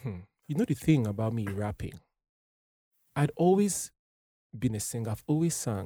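A man's dark, mellow, somewhat breathy voice at a medium pitch and moderate pace, broken by long, frequent pauses. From Nigeria. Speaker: singer-songwriter. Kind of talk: casual chat.

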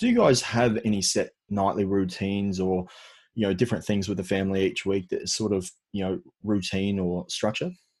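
A man with an Australian accent talks at a fairly quick pace in a fairly low pitch. His intonation is monotone and flat over a quiet background. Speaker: podcast host. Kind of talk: casual interview; scripted show intro.

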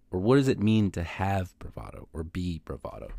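A man speaks with a Californian accent in a dark, mellow tone. The recording is very clean, with a silent background. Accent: Californian American English. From Southern California. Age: 20s. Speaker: podcast host. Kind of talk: solo podcast monologue. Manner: casual. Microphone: new microphone.

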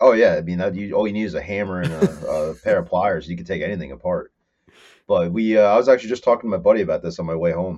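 Over a quiet background, a man with a New Jersey accent talks at a very fast pace. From northern New Jersey, Morris County. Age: 30s. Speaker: fabricator and mechanic. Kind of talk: casual chat.

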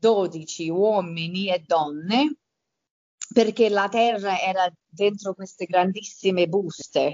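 A woman's medium-pitched voice, with ordinary pitch variation, moves at a very slow speed. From Campania, southern Italy (Avellino province), rural. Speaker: garden designer. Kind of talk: interview. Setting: remote call. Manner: halting.

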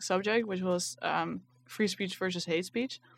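A woman with an ordinary speaking voice talks at a moderate pace, medium pitch and ordinary pitch variation. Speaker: podcast host. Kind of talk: moderated discussion.

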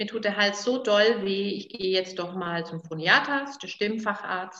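Here is a woman with a normal speaking voice at medium pitch. She goes at a fairly slow pace with ordinary pitch variation. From Franconia, Nuremberg (Germany). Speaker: vocal coach. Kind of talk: interview. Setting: her studio.

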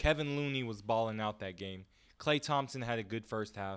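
On a very clean recording with a silent background, a man speaks in a normal speaking voice at medium pitch. His pace is moderate and his pitch variation ordinary. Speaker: sports podcast co-host. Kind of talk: casual sports talk. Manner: playful, boastful.

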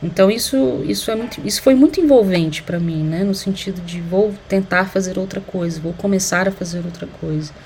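A woman speaks at a medium pitch and moderate pace, with ordinary pitch variation and hardly any pauses. There is noticeable background noise. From Brazil, Uberlândia, Minas Gerais. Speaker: anthropologist and sociology teacher. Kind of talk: interview. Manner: halting, many fillers.

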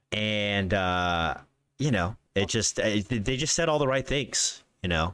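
On a very clean recording with a silent background, a man speaks in a fairly low, unremarkable speaking voice at a fairly slow pace, with lively intonation and very even loudness. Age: 30s. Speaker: comedian and podcast co-host. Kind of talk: casual chat.

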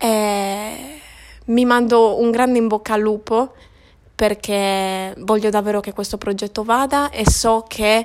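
Monotone and flat, a woman with a fairly high pitch speaks at a fairly slow pace. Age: 20s. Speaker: podcaster. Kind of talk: solo monologue.

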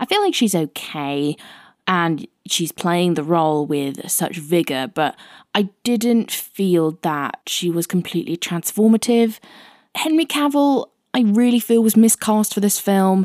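In a very clean recording with a silent background and a dry, close sound with no echo, a woman speaks at a fairly slow pace with very wide pitch swings. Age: 20s. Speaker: film reviewer podcast host. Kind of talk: film review monologue.

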